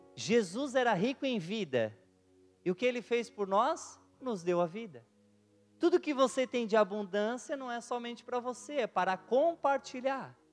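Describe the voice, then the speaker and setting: Over music in the background, a man with an extremely high pitch and lively intonation speaks at a fairly slow pace. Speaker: pastor. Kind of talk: sermon. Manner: soft-spoken; calm.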